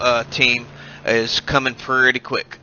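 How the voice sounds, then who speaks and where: Over noticeable background noise, a man with an American accent speaks fairly slowly in a flat monotone at a medium pitch. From United States. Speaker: sim racing commentator. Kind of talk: live commentary. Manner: hesitant, many uh fillers.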